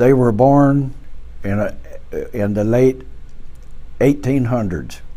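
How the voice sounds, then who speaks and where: This man has a medium pitch and a dark, mellow tone, talking at a very slow pace with long, frequent pauses in an American accent. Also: ordinary pitch variation. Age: 80s+. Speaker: war veteran. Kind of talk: oral history interview. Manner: halting.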